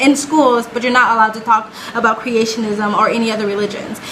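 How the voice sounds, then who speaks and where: A woman's animated tone over noticeable background noise. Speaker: reaction video creator. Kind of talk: casual commentary. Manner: fast.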